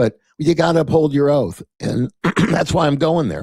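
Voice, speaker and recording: A man's dark, mellow voice comes at a moderate pace, dry and close with no echo, on a very clean recording with a silent background. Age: 70s. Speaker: political candidate. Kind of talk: interview. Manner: animated.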